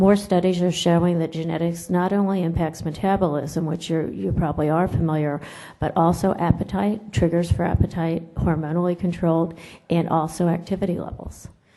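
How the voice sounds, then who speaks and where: In a room with audible echo, a woman speaks at a fairly quick pace, her fairly low voice dark and mellow with fairly even intonation. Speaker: nutrition professor. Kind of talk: conference lecture. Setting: conference room with audience. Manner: loud.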